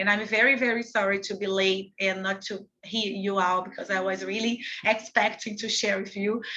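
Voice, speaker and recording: A woman speaks at a medium pitch in a monotone, flat way. Her pace is moderate, with hardly any pauses. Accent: Portuguese. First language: Portuguese. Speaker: activist. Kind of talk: panel talk. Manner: halting.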